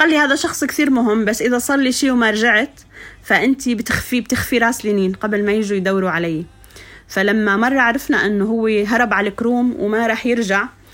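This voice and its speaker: A woman speaks at a moderate pace in a fairly high pitch, her loudness very even, with noticeable background noise. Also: ordinary pitch variation. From Syria, Suwayda countryside. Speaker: poet and educator. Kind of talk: interview storytelling.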